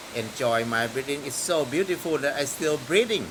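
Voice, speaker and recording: A man's voice with very wide pitch swings over noticeable background noise. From northeastern Thailand. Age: 60s. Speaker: farmer. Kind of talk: interview. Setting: outdoors in rain.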